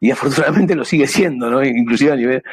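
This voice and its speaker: His pitch sits fairly high. This man's pitch variation is ordinary. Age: 60s. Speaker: amateur radio operator. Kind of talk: presentation. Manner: halting.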